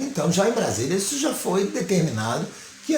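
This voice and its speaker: Noticeable background noise and audible room echo surround a man's high-pitched voice. He moves at a moderate pace with very wide pitch swings. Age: 60s. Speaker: local political candidate and commentator. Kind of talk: political commentary monologue.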